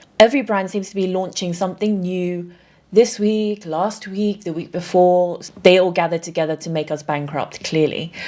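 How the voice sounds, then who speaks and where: In a British accent, a woman speaks at a moderate pace with a medium pitch, ordinary pitch variation and a dark, mellow tone. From England. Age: 30s. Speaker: beauty content creator. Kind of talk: casual talk to camera.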